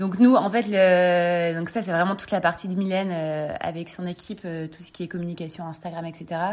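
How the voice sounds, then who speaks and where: Hardly pausing, a woman talks at a moderate pace in a fairly low pitch with fairly even intonation and big swings in loudness. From northern France, Lille. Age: 30s. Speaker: clothing brand co-founder. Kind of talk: interview. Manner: hesitant, many fillers.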